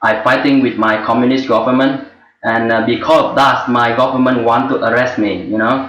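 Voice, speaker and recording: A man in a Vietnamese accent at medium pitch, with monotone, flat intonation and audible room echo. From Vietnam, rural village. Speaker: former journalist and refugee, webinar student. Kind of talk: personal testimony. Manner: halting.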